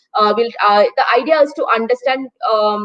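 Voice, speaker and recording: A woman speaks in a high voice. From India, Kerala. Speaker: marketing executive. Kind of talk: panel talk. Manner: hesitant, many fillers.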